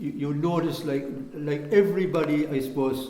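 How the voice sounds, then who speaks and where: Against noticeable background noise and audible room echo, a man with a fairly high voice speaks at a fairly quick pace. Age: 70s. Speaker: local historian. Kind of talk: casual chat. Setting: church mortuary.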